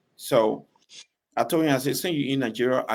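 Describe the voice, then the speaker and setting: A man's medium-pitched voice with a Liberian accent and fairly even intonation. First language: Bassa. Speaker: gospel singer. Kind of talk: interview.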